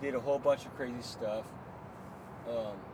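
The speech unfolds at a fairly slow pace amid noticeable background noise. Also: man. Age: 40s. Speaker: liveaboard boat owner. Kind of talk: casual chat. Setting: on a boat.

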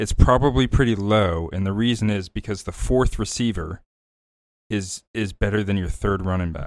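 A man speaks at a moderate pace in an ordinary speaking voice, fairly low in pitch with ordinary pitch variation, on a very clean recording with a silent background. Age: young. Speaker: podcast co-host, stats guy. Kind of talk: casual chat.

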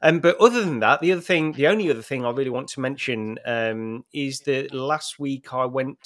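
A man with an unremarkable speaking voice talks at a fairly quick pace, medium pitch and ordinary pitch variation. The recording is very clean with a silent background. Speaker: VR enthusiast. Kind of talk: casual chat.

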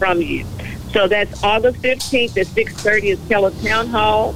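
A woman's medium-pitched voice with an American accent, a fairly slow pace, fairly even intonation, and noticeable background noise. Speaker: city council member. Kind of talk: call-in radio talk. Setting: phone call.

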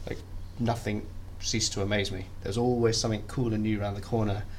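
The voice moves at a fairly quick pace with vocal fry and little pitch movement. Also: man.

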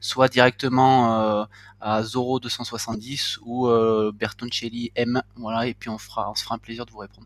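Delivered at a fairly slow pace in a monotone, flat intonation, the speech has a dry, close sound with no echo in a very clean recording with a silent background. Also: man. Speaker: football podcast co-host. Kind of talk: casual chat.

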